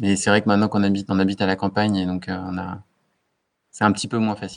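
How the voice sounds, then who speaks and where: The speech moves at a very fast pace. Its intonation is monotone and flat. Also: man. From western France, Anjou. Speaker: entrepreneur. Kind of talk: casual interview.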